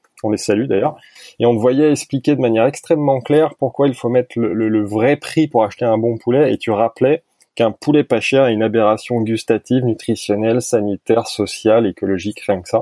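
A normal speaking voice, a man's at medium pitch, moves at a fairly quick pace with ordinary pitch variation. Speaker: podcast host. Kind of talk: casual interview. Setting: remote recording.

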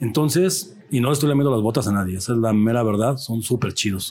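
A man's somewhat breathy, medium-pitched voice at a fairly quick pace, with ordinary pitch variation. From Mexico, Jalisco (rural ranch near Zapotlanejo). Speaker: artist. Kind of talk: casual chat. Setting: brewery.

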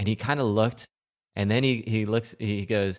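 A man with an American accent speaks in a normal speaking voice at medium pitch and a moderate pace. The sound is dry and close, with no echo. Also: quiet background. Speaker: podcast co-panelist. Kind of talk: casual chat.

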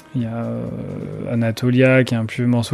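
A man speaks in a monotone, flat manner at medium pitch and a moderate pace. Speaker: electronic musician. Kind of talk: interview. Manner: hesitant, many fillers.

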